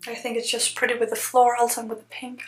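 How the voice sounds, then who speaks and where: Monotone, flat intonation at a fairly quick pace over noticeable background noise. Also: woman. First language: not English. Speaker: journaling YouTuber. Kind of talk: casual flip-through vlog. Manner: hesitant, many fillers.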